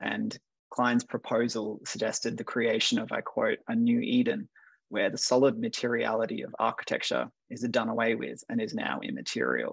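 A man with an Australian accent talks at a moderate pace. The sound is dry with no echo, and the background is quiet. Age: 30s. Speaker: curator and art historian, discussion moderator. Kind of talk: panel discussion. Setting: video call. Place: home room. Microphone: video call.

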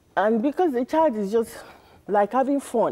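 Speaking with a Nigerian accent, a woman uses a dark, mellow tone, lively intonation and a moderate pace. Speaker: marriage counsellor; guest. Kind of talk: interview. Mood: earnest, explanatory. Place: studio. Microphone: lapel.

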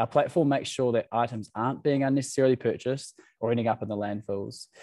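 A dark, mellow tone comes through at a fairly quick pace with ordinary pitch variation, in a dry sound with no echo and a quiet background. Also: man. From New Zealand, Waikato. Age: 20s. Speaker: startup founder. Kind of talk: presentation. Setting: video call. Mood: friendly, lightly humorous. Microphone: video call.

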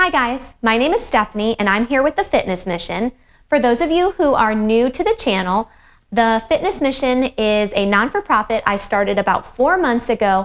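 At a moderate pace, a woman with a high voice speaks with lively intonation. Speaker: fitness instructor. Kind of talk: casual workout intro to viewers. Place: home room.

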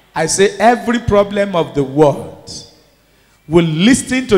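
Speaking at a fairly slow pace with a Nigerian accent, a man sounds animated, his high-pitched voice rising and falling with lively intonation. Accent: Nigerian (Yoruba) English. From Nigeria, Ondo State (Yoruba area). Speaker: bishop, preacher. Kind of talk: sermon. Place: church. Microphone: handheld.

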